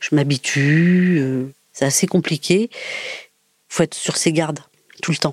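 In a dry, close sound with no echo, a woman with a very deep, low pitch and ordinary pitch variation talks at a very slow pace with long, frequent pauses. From Paris region, France. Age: 50s. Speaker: former prisoner and hairdresser. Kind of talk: personal testimony. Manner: halting, with many hesitations.

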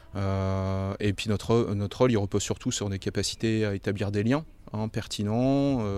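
Here is a man with an unremarkable speaking voice, pitched fairly low and with fairly even intonation. It is a very clean recording against a silent background. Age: 30s. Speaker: intensive care nurse. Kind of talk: interview.

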